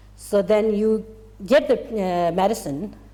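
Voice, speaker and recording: A non-native accent with ordinary pitch variation. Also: woman. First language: Tibetan. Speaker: Buddhist teacher. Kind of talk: dharma teaching. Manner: halting.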